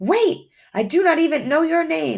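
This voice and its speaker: In a put-on character voice, the speaker sounds high-pitched and squeaky at a moderate pace. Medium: read story.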